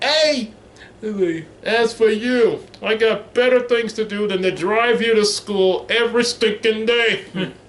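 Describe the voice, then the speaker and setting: A man puts on a character voice. It's pitched extremely high and delivered at a fairly slow pace. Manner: irritated, complaining.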